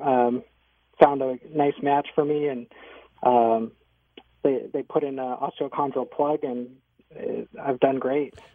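Very slowly, a man talks with fairly even intonation and long, frequent pauses. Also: fairly high pitch for a man. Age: 30s. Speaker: physician assistant and knee surgery patient. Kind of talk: radio interview.

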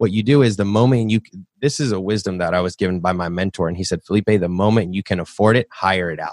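With an American accent, a man with a fairly low pitch talks at a very fast pace in a very clean recording with a silent background and a dry, close sound with no echo. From US South, Nashville. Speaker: real estate investor and podcast host. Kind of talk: interview. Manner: halting, repeats words.

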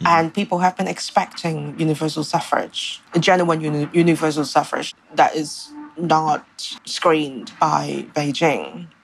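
A woman speaks at a fairly slow pace in a very deep, low voice with fairly even intonation. Noticeable background noise runs under her speech. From Hong Kong. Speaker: art journalist. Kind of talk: interview. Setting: remote call from home.

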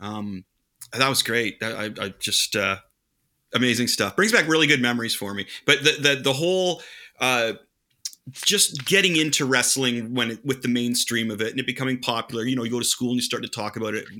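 A man with an unremarkable speaking voice talks at a medium pitch with ordinary pitch variation. His pace is fairly quick. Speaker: podcast co-host. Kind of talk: casual chat.

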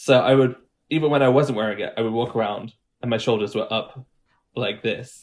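A man with an English Midlands accent, medium pitch, fairly quick pace, and fairly even intonation. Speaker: accent and dialect coach. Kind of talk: tutorial.

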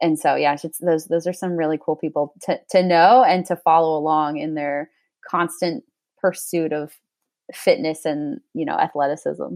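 A woman speaks in a plain, everyday voice, fairly low in pitch with ordinary variation, at a moderate pace. The recording is very clean, dry and close, with a silent background and no echo. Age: 20s. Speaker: sports dietitian and athlete. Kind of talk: casual interview.

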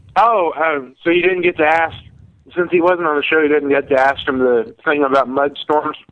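At a moderate pace and very even loudness, a man with an unremarkable speaking voice talks at a fairly high pitch with ordinary pitch variation. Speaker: show producer booking guests. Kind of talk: casual chat.

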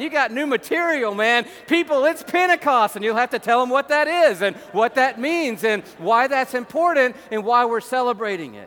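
A man with an American accent and an extremely high pitch, ordinary pitch variation and a moderate pace, over noticeable background noise. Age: 50s. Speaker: pastor. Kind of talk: sermon. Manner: animated.

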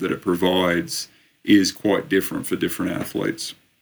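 This man has an Australian accent and a fairly low pitch. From Australia, Sydney. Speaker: endurance coach and sports scientist. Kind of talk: interview.

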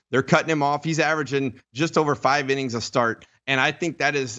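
A man with an unremarkable speaking voice, fairly even intonation and a fairly quick pace. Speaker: former baseball pitcher and analyst. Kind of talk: casual sports talk chat. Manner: relaxed, conversational.

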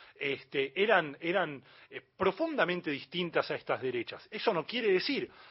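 This voice keeps to a moderate pace. Its pitch rises and falls very widely. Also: man. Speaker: journalist and magazine editor. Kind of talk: radio interview.

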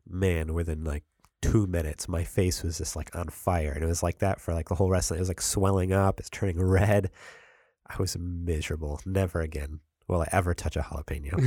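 A man speaks with a very deep, low pitch and a somewhat breathy sound. His intonation stays fairly even. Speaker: podcast host. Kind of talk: casual chat. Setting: studio.

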